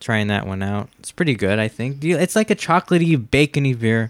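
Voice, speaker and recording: In a very clean recording with a silent background and a dry, close sound with no echo, a man speaks at a moderate pace with a medium pitch. He has a normal speaking voice and lively intonation. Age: 30s. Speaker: podcast host. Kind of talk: casual chat.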